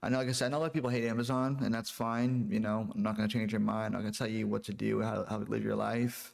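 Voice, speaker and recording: This man talks very fast at a very even loudness with hardly any pauses. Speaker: YouTuber, warehouse worker. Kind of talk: casual vlog. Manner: halting, repetitive.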